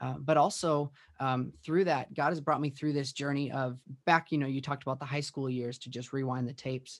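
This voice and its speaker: At a fairly quick pace, a plain, everyday voice with an American accent keeps a fairly even intonation. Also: man, fairly high pitch for a man. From US Midwest, Minneapolis western suburbs. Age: 30s. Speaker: worship pastor and songwriter. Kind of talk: podcast interview.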